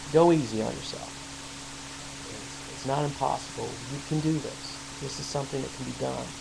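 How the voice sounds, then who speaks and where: A man at a moderate pace, with long, frequent pauses, big swings in loudness, audible room echo and noticeable background noise. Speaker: war veteran with PTSD. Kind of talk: personal advice monologue. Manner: halting, many fillers and repetitions.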